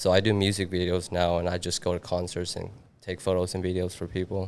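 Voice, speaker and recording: With a slight non-native accent, a man speaks very fast in a very deep, low pitch and a monotone, flat intonation. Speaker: videographer. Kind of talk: casual podcast interview.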